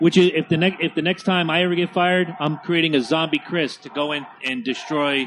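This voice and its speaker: A man with a fairly high pitch speaks at a fairly quick pace with hardly any pauses and fairly even intonation, over noticeable background noise. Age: 40s. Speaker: podcast co-host. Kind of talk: casual movie commentary. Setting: home studio on couches in front of a TV.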